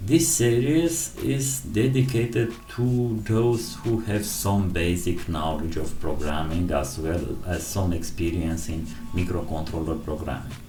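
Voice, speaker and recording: A man with a non-native accent and a very deep, low pitch, at a fairly slow pace with very wide pitch swings, amid audible room echo and music in the background. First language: not English. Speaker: programming tutorial creator. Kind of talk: tutorial. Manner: halting.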